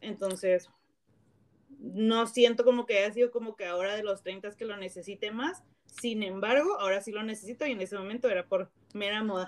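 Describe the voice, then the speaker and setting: Using an unremarkable speaking voice, a woman with a fairly high pitch talks at a fairly quick pace with fairly even intonation and big swings in loudness. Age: 30s. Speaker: podcast host. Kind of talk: casual chat. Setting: remote call.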